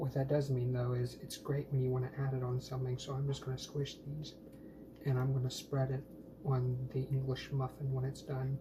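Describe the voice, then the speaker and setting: The quiet speech moves at a moderate pace over noticeable background noise. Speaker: food vlogger. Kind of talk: casual cooking vlog. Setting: home kitchen.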